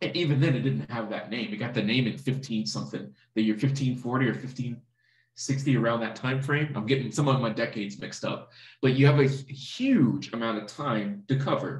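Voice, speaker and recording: Through audible room echo against a quiet background, a man with vocal fry talks at a moderate pace in a fairly even intonation. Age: 30s. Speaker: online course instructor. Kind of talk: lecture. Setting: live online class recording. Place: home room. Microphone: webcam.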